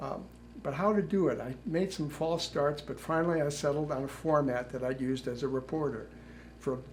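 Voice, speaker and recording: This man speaks at a moderate pace with an American accent and a fairly high pitch. Room echo is audible. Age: 70s. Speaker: retired journalist and author. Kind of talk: prepared talk.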